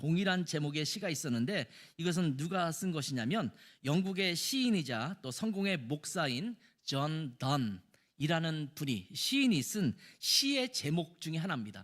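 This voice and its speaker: Very wide pitch swings mark this fairly slow voice, recorded very cleanly against a silent background. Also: man. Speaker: pastor. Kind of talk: sermon.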